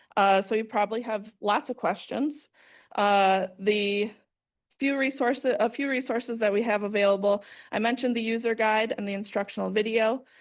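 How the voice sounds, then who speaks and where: At a moderate pace, a woman talks in a normal speaking voice that is fairly high-pitched, with fairly even intonation and a quiet background. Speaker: regional planning agency staff presenter. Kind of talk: presentation.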